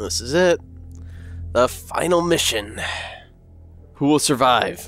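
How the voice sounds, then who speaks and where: A man puts on a raspy character voice at medium pitch, with very wide pitch swings and a fairly slow pace. Faint music plays in the background. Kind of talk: announcer delivery. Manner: dramatic, epic.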